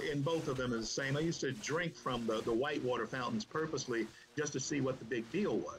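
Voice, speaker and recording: Speaking with an American accent at a fairly quick pace, a man uses a fairly high pitch with ordinary variation, and noticeable background noise can be heard. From US South. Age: 60s. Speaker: podcast guest, political commentator. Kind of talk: podcast interview. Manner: halting.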